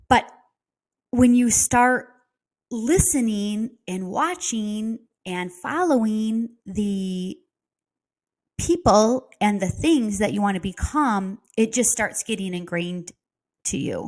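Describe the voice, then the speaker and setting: In a Midwestern accent, the speaker goes at a very slow pace with lively intonation and long, frequent pauses. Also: woman, very clean recording, silent background. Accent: Midwest. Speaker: real estate coach. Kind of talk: casual talk to camera. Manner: conversational, with fillers.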